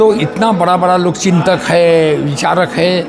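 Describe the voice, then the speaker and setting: A man with a high voice and ordinary pitch variation speaks in a room with audible echo while music plays in the background. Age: 80s+. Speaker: retired civil servant. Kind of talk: interview. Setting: summit event.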